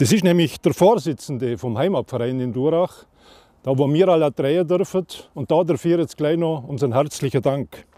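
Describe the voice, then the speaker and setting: A dark, mellow tone at a moderate pace, with ordinary pitch variation and a dry, close sound with no echo. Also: man, fairly high pitch for a man. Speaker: TV show host. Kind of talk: show opening to camera.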